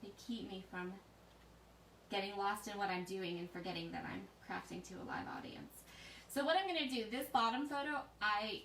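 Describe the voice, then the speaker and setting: Noticeable background noise and audible room echo surround a woman's voice. Her pitch is fairly high and her pace moderate. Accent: American. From US, Pennsylvania then various places. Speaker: scrapbooking instructor. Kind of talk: live craft tutorial. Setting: Facebook live stream. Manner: soft-spoken.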